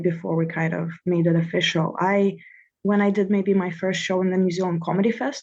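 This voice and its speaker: A woman speaks at a fairly quick pace with a Russian accent. Her pitch is medium, with ordinary pitch variation. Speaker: comedian and comedy producer. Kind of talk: casual interview.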